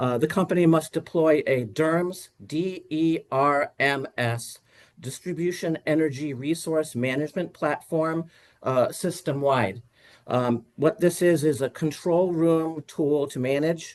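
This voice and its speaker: A man is speaking here. His pace is fairly slow, with ordinary pitch variation. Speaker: utility engineer witness. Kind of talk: testimony. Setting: video call. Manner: halting with many fillers.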